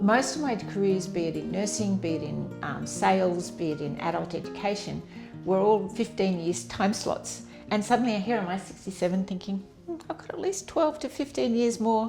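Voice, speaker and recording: Over music in the background, a woman with an Australian accent speaks at a moderate pace. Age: 70s. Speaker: nurse. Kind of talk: interview. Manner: casual and hesitant with fillers.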